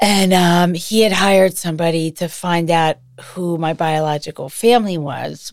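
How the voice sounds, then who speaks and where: A woman with an American accent and a plain, everyday voice, fairly low in pitch, at a moderate pace with hardly any pauses. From Massachusetts, US. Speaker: adoptee sharing her story. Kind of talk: personal testimony interview.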